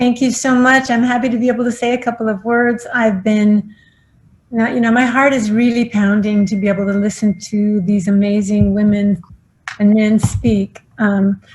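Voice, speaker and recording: This is a plain, everyday voice at a moderate pace. Intonation is fairly even and loudness very even. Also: woman, fairly high pitch for a woman. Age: 60s. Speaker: philanthropist. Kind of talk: acceptance speech.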